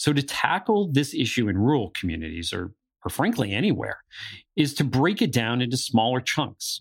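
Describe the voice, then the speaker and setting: A man with an American accent, vocal fry, and very wide pitch swings. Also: medium pitch for a man, moderate pace, very clean recording, silent background. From northeastern Pennsylvania. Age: 40s. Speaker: podcast co-host on higher education. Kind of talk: podcast discussion with scripted segments.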